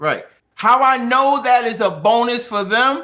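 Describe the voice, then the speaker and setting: The man's pitch is extremely high. His tone is bright and sharp, and his voice is raised and projected. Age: 50s. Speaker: podcast co-host. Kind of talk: casual chat.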